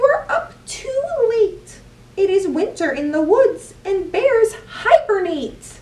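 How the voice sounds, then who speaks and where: Putting on a character voice, a woman talks squeakily at an extremely high pitch with very wide pitch swings and a fairly slow pace. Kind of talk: bedtime story. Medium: read story. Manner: fretful.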